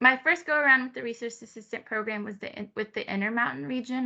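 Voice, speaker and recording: A woman with a Spanish accent has a bright, sharp tone and ordinary pitch variation, recorded against a quiet background. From Peru, raised mostly in California. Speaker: resource assistant, program assistant. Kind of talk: presentation of own experience.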